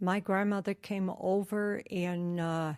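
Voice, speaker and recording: Very slowly and with fairly even intonation, a woman speaks at a medium pitch on a very clean recording with a silent background. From New Mexico, Gallup. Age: 80s+. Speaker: oral history interviewee. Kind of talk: oral history interview. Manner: halting.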